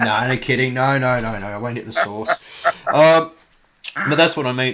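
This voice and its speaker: Delivered at a fairly quick pace with an Australian accent, the speech shows ordinary pitch variation. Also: man. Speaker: podcast host. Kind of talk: interview. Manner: casual, halting.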